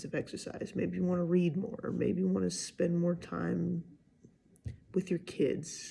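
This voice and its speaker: A soft-spoken woman at a moderate pace. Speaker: vlogger. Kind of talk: casual monologue. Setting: at home, early morning.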